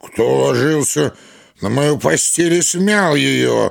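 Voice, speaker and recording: Using a put-on character voice, a man bellows at a fairly high pitch and a fairly slow pace. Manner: roaring, terrifying.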